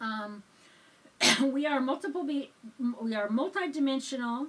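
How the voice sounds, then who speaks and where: A woman with a high voice speaks in a calm tone at a fairly slow pace. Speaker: spiritual teacher, church reverend. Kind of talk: spiritual sermon ramble, casual talk to camera. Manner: calm, conversational.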